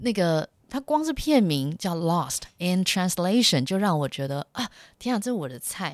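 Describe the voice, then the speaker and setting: This woman's voice is fairly low in pitch, with lively intonation at a moderate pace. The recording is very clean with a silent background and a dry, close sound with no echo. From Taiwan. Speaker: actress and translator, podcast host. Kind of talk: casual solo talk. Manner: hesitant, many fillers.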